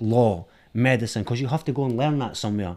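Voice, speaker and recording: A man with a Scottish accent, medium pitch, fairly even intonation and a fairly quick pace. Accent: Scottish, Edinburgh. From Edinburgh, Scotland. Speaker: film director. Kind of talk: casual chat.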